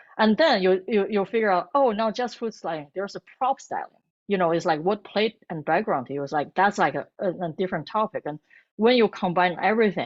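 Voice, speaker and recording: Using lively intonation, a woman with a Chinese accent speaks at a medium pitch. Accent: Mandarin Chinese. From northern China, Beijing. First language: Mandarin Chinese. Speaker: food blogger and cookbook author. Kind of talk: interview. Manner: halting, many false starts.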